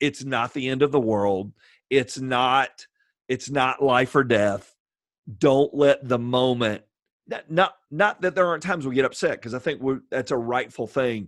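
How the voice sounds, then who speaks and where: A plain, everyday voice, a man at medium pitch with ordinary pitch variation and a fairly slow pace, on a very clean recording with a silent background. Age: 50s. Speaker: pastor and assistant high school baseball coach. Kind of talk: casual interview.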